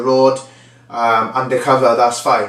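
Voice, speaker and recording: The voice moves at a moderate pace, with audible room echo and noticeable background noise. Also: man. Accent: South Wales Valleys. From Wales, the Valleys. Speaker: former reality TV contestant, training consultant. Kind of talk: casual vlog storytelling. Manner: conversational, filler-heavy.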